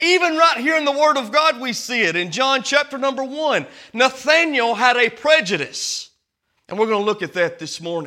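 With an American accent, a man uses a raised, projected voice at an extremely high pitch, his bright, sharp tone swinging very widely in pitch at a moderate pace. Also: very clean recording, silent background. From small-town US. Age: 30s. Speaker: Baptist pastor. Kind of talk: Sunday-morning Baptist sermon, preacher working the congregation with call-and-response. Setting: church service. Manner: conversational, earnest preaching with direct appeals to the congregation.

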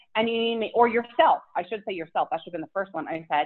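Here is a woman with a Philadelphia accent. Her pitch sits fairly high, and her intonation is lively. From Philadelphia, US. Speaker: fitness influencer and mom. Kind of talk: casual interview chat.

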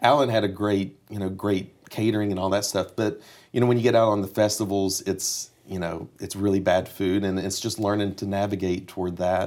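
Speaking with an East Tennessee accent, a man keeps a fairly quick pace with hardly any pauses. His fairly low pitch stays monotone and flat on a very clean recording with a silent background. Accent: US Southern (East Tennessee). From East Tennessee (Kingsport). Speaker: session musician. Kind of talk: interview.

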